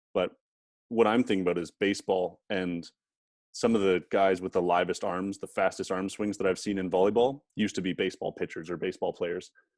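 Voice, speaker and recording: A man with a Canadian accent, a very deep, low pitch, a fairly quick pace and fairly even intonation. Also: dry, close sound with no echo. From Canada. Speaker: podcast host. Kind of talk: casual chat. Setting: podcast interview.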